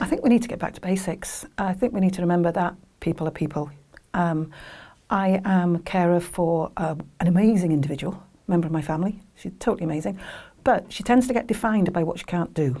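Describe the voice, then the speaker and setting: A woman talks at a very fast pace in a fairly low pitch, with a dark, mellow tone that is somewhat breathy. The recording is very clean, with a silent background. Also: ordinary pitch variation. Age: 60s. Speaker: family carer. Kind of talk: testimony.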